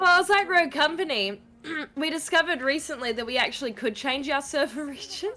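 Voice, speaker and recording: Raising and projecting her high voice over noticeable background noise, a woman with an Australian accent talks at a fairly quick pace with lively intonation. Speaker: gaming streamer. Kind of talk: casual chat. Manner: animated.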